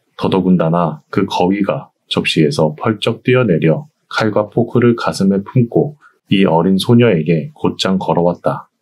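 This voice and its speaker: This man has a fairly low pitch and lively intonation. He speaks at a very slow pace. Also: very even loudness. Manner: calm, soothing.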